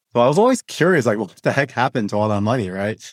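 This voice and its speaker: A man's voice in a dry, close sound with no echo, on a very clean recording with a silent background. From Hong Kong. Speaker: studio project lead. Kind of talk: podcast interview, casual chat.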